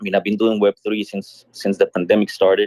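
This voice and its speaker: A man with a Colombian accent speaks at a fairly quick pace, the sound dry and close with no echo. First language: Spanish. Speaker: musician and streamer. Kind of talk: casual chat. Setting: online audio room.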